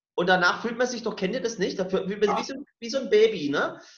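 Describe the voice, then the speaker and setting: Room echo is audible around this man. His voice sits high in pitch. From rural Germany. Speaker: podcast co-host. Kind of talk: casual chat.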